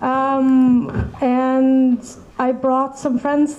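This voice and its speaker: A woman, high in pitch, over noticeable background noise. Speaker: audience member. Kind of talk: audience question.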